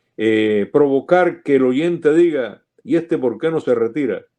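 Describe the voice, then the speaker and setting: A man's dark, mellow voice at a fairly high pitch, with very wide pitch swings and a fairly slow pace over a quiet background. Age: 70s. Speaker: sports broadcaster. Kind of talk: interview.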